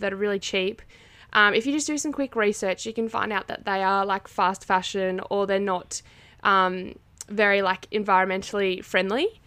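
On a very clean recording with a silent background, a woman with an Australian accent speaks at a moderate pace and medium pitch, her tone bright and sharp and her intonation fairly even. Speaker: podcast co-host, university student. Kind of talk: casual chat.

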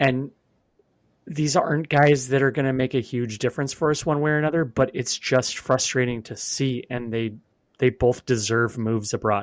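With an American accent, a man with a plain, everyday voice speaks at a moderate pace and medium pitch with ordinary pitch variation, in a very clean recording with a silent background. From US West Coast (Oregon). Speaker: podcast co-host, soccer fan. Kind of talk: casual sports chat.

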